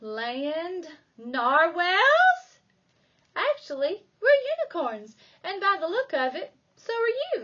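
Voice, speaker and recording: Using a put-on character voice, a woman speaks in an extremely high pitch with very wide pitch swings at a fairly slow pace, leaving long, frequent pauses. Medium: read story.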